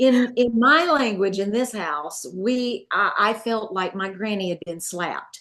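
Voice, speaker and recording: A woman with a Southern US accent speaks at a fairly slow pace in a fairly high pitch, her intonation lively and her speech running with hardly any pauses. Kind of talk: testimony. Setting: at home.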